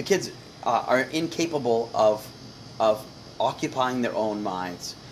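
A man with an American accent speaks in a plain, everyday voice at a medium pitch, with lively intonation and a fairly slow pace. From United States. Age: 40s. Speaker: comedian and homesteader. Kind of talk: casual chat.

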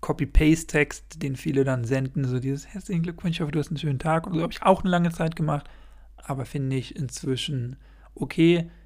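Somewhat breathy, a man talks at a very fast pace. His pitch is fairly high, with ordinary variation. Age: 20s. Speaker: podcaster. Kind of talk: solo podcast monologue. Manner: rambling, filler-heavy.

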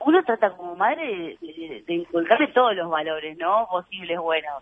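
Lively intonation runs through a woman's normal speaking voice. She keeps a medium pitch and a moderate pace. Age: 30s. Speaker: actress and comedian. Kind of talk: casual interview chat.

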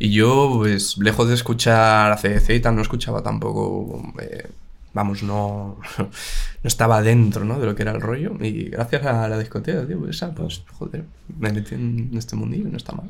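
A man speaks at a moderate pace with a fairly low pitch and ordinary pitch variation, and audible room echo can be heard. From Spain, Madrid (born in Valladolid province). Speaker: musician. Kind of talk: casual chat.

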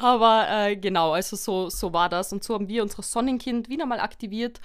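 An unremarkable speaking voice from a woman, fairly high-pitched with lively intonation, in a very clean recording with a silent background. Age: 20s. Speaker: psychology graduate and family support worker. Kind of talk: interview on psychology topic.

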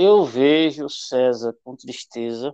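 A man with a dark, mellow tone speaks at a very slow pace, the sound dry and close with no echo. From Pernambuco, Brazil (Venturosa). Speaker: teacher and school administrator. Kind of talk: interview conversation.

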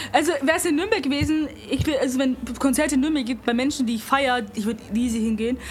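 Over noticeable background noise, a woman talks at a very fast pace in a high-pitched voice with ordinary pitch variation. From Bavaria, Germany. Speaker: podcast co-host. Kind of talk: casual chat.

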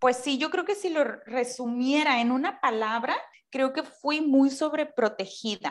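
Here a woman speaks in a high pitch. Her pace is fairly slow, with ordinary pitch variation. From Mexico, Tampico (Tamaulipas). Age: 20s. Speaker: podcast co-host. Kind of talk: casual chat.

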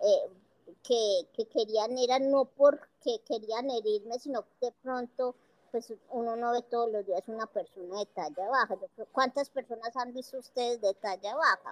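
A woman speaks at a fairly high pitch and a fairly slow pace. Her pitch varies in an ordinary way. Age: 50s. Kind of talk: interview.

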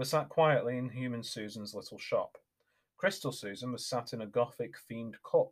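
Reading aloud in a natural voice, with a quiet background

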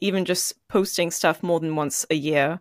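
The recording is very clean, with a silent background. A woman with an ordinary speaking voice talks at a moderate pace. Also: dry, close sound with no echo. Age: 20s. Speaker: podcast host and musician. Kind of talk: interview conversation.

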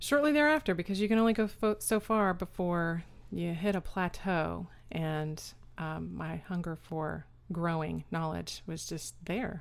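Someone with an American accent talks at a fairly slow pace in a very clean recording with a silent background. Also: woman. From Austin, Texas. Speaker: caregiver and author. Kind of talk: interview.

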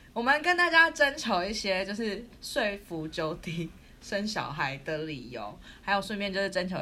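A woman's voice carries audible room echo. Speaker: podcast co-host. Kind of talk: casual chat. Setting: recording remotely in quarantine room. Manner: loud; animated.

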